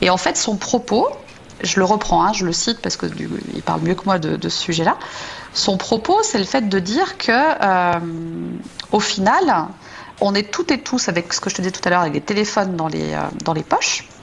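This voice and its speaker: Her delivery is neither fast nor slow. She stops often, and the pauses run long. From France. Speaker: software engineering manager. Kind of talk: radio interview. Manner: hesitant, many repetitions.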